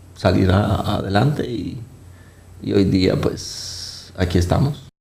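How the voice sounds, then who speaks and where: Audible room echo surrounds a man speaking at a very slow pace with a fairly low pitch. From Colombia. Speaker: vascular surgeon. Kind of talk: interview. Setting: studio with live set. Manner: halting, frequent fillers.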